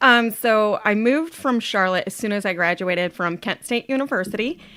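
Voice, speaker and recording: In an American accent, a woman talks loudly at a fairly quick pace, her fairly high voice bright, sharp and upbeat with lively intonation, on a very clean recording with a silent background. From Ohio, US Midwest. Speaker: supplement company representative. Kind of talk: casual interview chat.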